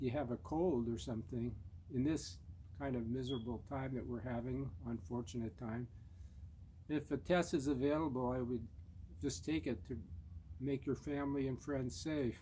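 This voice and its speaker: At a moderate pace, a medium-pitched man with a dark, mellow, somewhat breathy tone uses lively intonation and long, frequent pauses. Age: 70s. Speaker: vlogger sharing personal experience. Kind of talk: personal testimony monologue. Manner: halting, with fillers.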